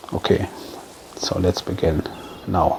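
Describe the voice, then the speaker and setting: A man with a German accent speaks at a fairly slow pace. Background noise is noticeable. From Germany. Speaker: gaming YouTuber. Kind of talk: gameplay commentary. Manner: halting, many fillers.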